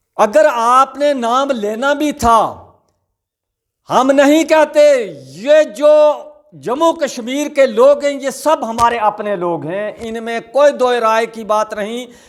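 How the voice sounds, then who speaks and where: This man's voice sits at an extremely high pitch, with ordinary pitch variation. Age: 70s. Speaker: war veteran. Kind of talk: political commentary monologue. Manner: emotional, repetitive.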